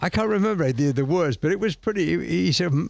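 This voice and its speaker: The voice moves at a very fast pace. Its pitch swings very widely. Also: man. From northern England. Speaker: motorcycle film producer. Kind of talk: radio interview. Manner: halting.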